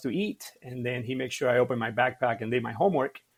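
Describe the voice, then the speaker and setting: Here a man speaks with a Cuban accent. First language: Spanish. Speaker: martial arts practitioner. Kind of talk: interview storytelling. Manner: hesitant with many fillers.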